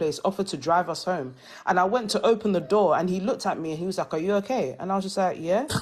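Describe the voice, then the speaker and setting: A woman with a British accent and ordinary pitch variation, against a quiet background. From England. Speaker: panelist in livestream discussion. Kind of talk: casual chat. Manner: animated.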